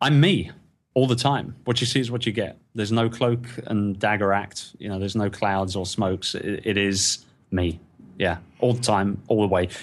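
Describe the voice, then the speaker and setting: A man's fairly low voice in a British accent, moderate pace, ordinary pitch variation. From England. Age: 40s. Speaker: entrepreneur. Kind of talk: interview. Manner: animated.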